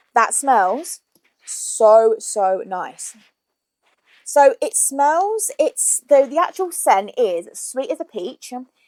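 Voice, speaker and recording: A woman with an English accent speaks in a high voice at a very slow pace, with very wide pitch swings. The sound is dry and close, with no echo. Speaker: YouTuber. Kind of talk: shopping haul vlog. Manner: casual, chatty.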